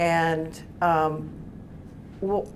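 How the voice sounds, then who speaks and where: A woman speaks with a fairly low pitch. Light background noise can be heard. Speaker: television writer; panelist. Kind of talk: panel discussion. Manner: halting. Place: meeting room. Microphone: lapel.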